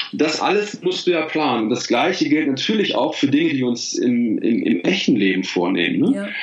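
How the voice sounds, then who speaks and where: A man talks with hardly any pauses, his voice carrying audible room echo over noticeable background noise. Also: moderate pace. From Rhineland, Germany (Bergisch Gladbach near Cologne). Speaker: life and career coach, author. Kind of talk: casual interview. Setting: Skype call.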